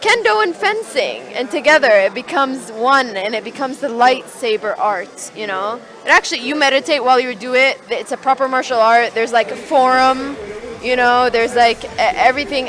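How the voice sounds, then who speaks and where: A woman with an Arabic accent speaks in a high pitch at a fairly quick pace with lively intonation. Noticeable background noise sits behind her. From Saudi Arabia. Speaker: event organiser. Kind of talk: casual chat. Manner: hesitant, many fillers.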